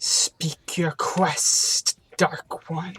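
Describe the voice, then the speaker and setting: Someone whispers in a put-on character voice. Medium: game stream. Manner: archaic, theatrical.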